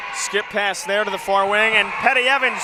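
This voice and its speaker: A man's raised, projected voice carries through noticeable background noise. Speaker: sports play-by-play announcer. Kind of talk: live basketball play-by-play commentary.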